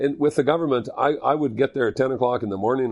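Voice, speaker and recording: A voice with a Canadian Prairies accent, ordinary pitch variation and a quiet background. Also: man. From Manitoba, Canada. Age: 60s. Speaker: curling equipment entrepreneur and former curler. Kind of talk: podcast interview.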